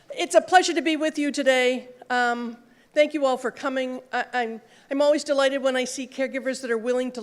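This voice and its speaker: This woman's voice is loud and high-pitched. She talks at a fairly quick pace. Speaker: conference speaker, social worker in health IT. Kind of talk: conference talk. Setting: stage with audience and mic. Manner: fast; loud, projecting.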